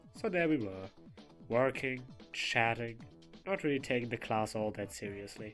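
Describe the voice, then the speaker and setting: Music plays in the background as a man speaks in a playful tone. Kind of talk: storytime narration. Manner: casual, playful.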